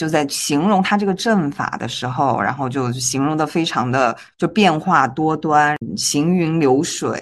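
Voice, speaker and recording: Against a quiet background, a woman with a very deep, low pitch speaks at a moderate pace with lively intonation. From Guizhou, China. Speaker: podcast co-host. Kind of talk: casual chat.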